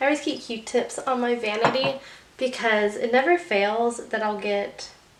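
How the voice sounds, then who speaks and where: A woman speaks at a high pitch and a fairly slow pace, with noticeable background noise. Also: ordinary pitch variation. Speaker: beauty vlogger. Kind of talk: makeup tutorial. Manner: casual, chatty.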